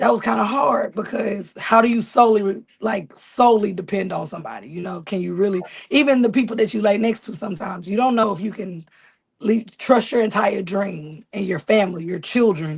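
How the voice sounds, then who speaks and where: A somewhat breathy woman's voice in an American accent, with ordinary pitch variation and a fairly quick pace. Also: medium pitch for a woman, big swings in loudness. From US South, rural Arkansas (Marianna). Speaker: Southern soul singer and songwriter. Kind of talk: interview. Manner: animated.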